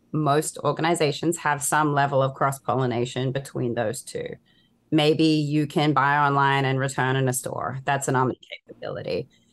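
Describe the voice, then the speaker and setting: Against a quiet background, a woman speaks at a moderate pace in a very deep, low voice. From Australia. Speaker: consultant. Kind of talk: casual interview chat.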